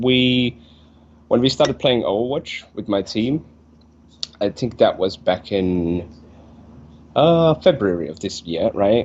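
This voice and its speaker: A man with a Finnish accent, very slow pace, long and frequent pauses, and very wide pitch swings. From Finland. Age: 20s. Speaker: esports player. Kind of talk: interview.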